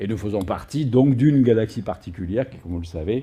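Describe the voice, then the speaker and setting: A man speaks with a Provençal accent at a fairly quick pace, his intonation lively and his pitch medium. His tone is dark and mellow, and somewhat breathy. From Provence, southern France. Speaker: astrophysicist. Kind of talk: public lecture. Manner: frequent hesitations (euh).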